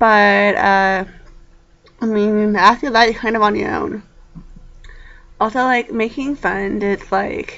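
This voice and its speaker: A woman with a fairly high voice speaks at a very slow pace with fairly even intonation. Long, frequent pauses break up her speech. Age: young. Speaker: college student vlogger. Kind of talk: casual vlog monologue. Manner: hesitant, many fillers.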